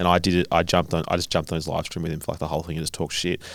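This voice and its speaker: A man talks with an Australian accent. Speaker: podcast host. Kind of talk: casual chat. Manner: loud.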